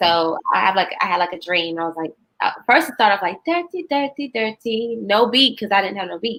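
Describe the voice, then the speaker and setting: At a fairly quick pace, a woman with medium pitch uses lively intonation, her loudness swinging widely. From South Carolina, Rock Hill area. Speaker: singer-songwriter. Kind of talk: podcast interview. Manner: casual, halting with fillers.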